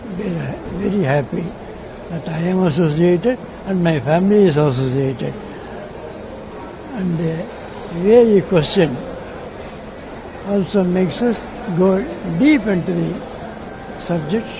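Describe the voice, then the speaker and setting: In a room with audible echo and noticeable background noise, a man talks at a high pitch and fairly slow pace, with lively intonation and long, frequent pauses. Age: 90s. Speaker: craftsman. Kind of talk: interview answers.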